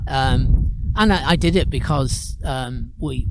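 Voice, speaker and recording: Behind the man, background noise is noticeable. He talks at a very slow pace. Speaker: blind goat-herder and storyteller/singer. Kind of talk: casual interview answer, conversational talk.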